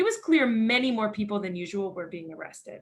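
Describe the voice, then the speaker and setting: A woman with a Philadelphia accent talks at a fairly quick pace and fairly high pitch, her intonation lively. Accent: American, Philadelphia. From Philadelphia, Pennsylvania, USA. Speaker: NGO director of education, army veteran. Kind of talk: lecture.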